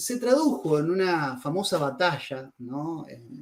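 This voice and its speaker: Speaking at a very slow pace with a Rioplatense accent, a man uses lively intonation in a high-pitched voice. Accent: Argentine Rioplatense Spanish. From Argentina, Rosario. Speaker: writer on religion and philosophy, interviewee. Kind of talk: interview. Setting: video call over internet.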